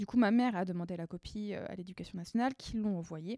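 A woman's voice has a dark, mellow tone with a dry, close sound and no echo. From Paris region, France. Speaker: artist. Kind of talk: casual chat.

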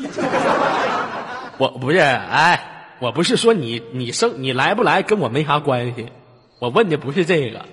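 A man's voice makes very wide pitch swings. Noticeable background noise sits behind him. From Inner Mongolia, rural. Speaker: late-night radio host. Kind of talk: casual call-in chat. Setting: online voice-chat room. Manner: animated, joking.

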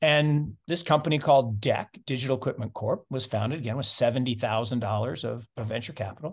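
An unremarkable speaking voice from a man, medium in pitch and fairly quick in pace, over a quiet background. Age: 50s. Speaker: investment fund manager. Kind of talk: interview.

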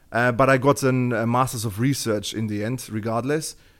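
A man with a German accent, medium pitch, fairly even intonation and a moderate pace, on a very clean recording with a silent background. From Germany. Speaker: open-source intelligence researcher and job-site founder. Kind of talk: interview.

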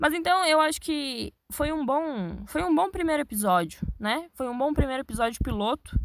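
A woman's high-pitched voice proceeds at a moderate pace. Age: young. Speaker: podcaster. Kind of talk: solo podcast monologue. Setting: inside a wardrobe. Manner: casual, chatty.

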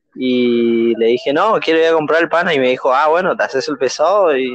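A man with a fairly high pitch and ordinary pitch variation speaks at a moderate pace while music plays in the background. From Argentina, rural Corrientes. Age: 20s. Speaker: podcast co-host. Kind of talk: casual chat.

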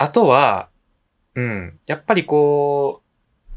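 Pitch swings very widely as the speaker talks very slowly. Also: man. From Japan, Nishinomiya, Hyogo (Kansai). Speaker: podcast co-host. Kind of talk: casual chat.

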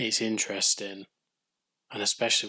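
A man with an English accent, recorded with a dry, close sound and no echo. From England. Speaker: podcast host. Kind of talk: solo TV recap podcast.

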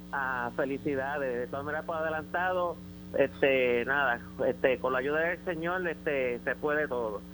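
Over background music, a man with a medium-pitched voice talks at a moderate pace with ordinary pitch variation. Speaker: caller. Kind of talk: call-in opinion. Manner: halting, repeats words.

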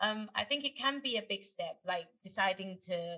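At a medium pitch, a woman speaks in an ordinary speaking voice. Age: 20s. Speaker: podcast co-host. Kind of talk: casual chat.

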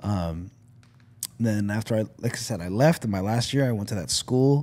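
Speaking at a moderate pace with a Toronto accent, a man uses a medium pitch and ordinary pitch variation. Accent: Canadian English, Toronto. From Canada, Scarborough (Toronto). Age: 40s. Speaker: podcast guest, content creator. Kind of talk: casual chat. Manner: animated.

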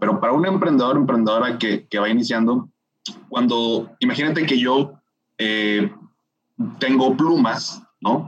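The man's delivery is fairly slow, and his pitch moves in an ordinary way. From Mexico, Monterrey. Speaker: finance specialist and entrepreneur. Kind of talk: interview.

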